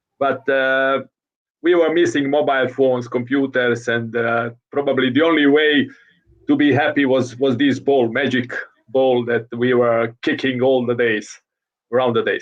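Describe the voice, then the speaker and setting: A man with a Croatian accent, medium pitch, flat monotone intonation and a moderate pace. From Croatia (Zagreb). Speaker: futsal coach. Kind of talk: interview. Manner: halting.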